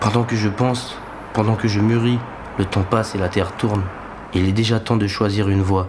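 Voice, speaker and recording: Over noticeable background noise, a man talks at a fairly low pitch with monotone, flat intonation. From French Guiana. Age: 20s. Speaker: documentary narrator. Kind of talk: scripted narration. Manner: reflective.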